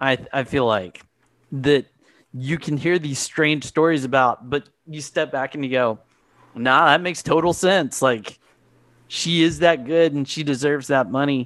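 In a normal speaking voice, a man talks at a fairly slow pace with a fairly high pitch and ordinary pitch variation. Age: 40s. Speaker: music podcast co-host. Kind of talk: casual chat.

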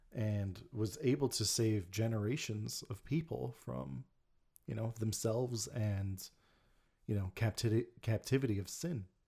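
A man speaks at a fairly slow pace with a fairly low pitch and a somewhat breathy voice. His intonation is lively, and the recording is very clean with a silent background. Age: 30s. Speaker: podcast host. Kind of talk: casual chat.

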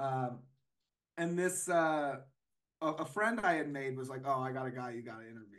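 With an American accent, a man talks at a moderate pace and fairly high pitch, with ordinary pitch variation, big swings in loudness, long, frequent pauses and audible room echo. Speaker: paranormal researcher and author. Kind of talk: casual chat.

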